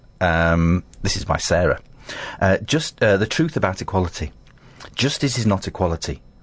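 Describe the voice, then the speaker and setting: Speaking at a moderate pace with very even loudness, a man with an unremarkable speaking voice uses lively intonation at a fairly low pitch. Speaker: radio host. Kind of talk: casual chat. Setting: studio.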